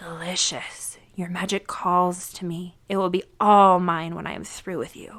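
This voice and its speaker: A woman in a put-on character voice, guttural and menacing, at a medium pitch and moderate pace with hardly any pauses. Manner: menacing, gloating.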